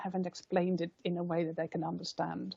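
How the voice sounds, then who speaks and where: A woman talks at a fairly quick pace and a medium pitch. Her intonation stays monotone and flat. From Netherlands. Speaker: professor giving expert evidence. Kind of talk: committee testimony answering questions.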